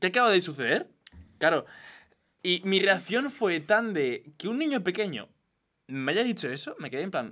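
A man with a high-pitched, raised, projected voice and a bright, sharp tone speaks at a moderate pace, with very wide pitch swings and long, frequent pauses. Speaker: podcast co-host. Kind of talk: casual chat. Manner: loud.

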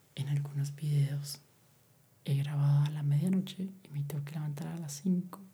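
A man speaks softly, with a somewhat breathy, dark and mellow tone. His intonation stays flat and monotone at a moderate pace. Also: fairly high pitch for a man. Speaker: ASMR YouTuber. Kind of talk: soft-spoken ASMR monologue. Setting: home recording at night. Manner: soft-spoken. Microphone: far from the mic.

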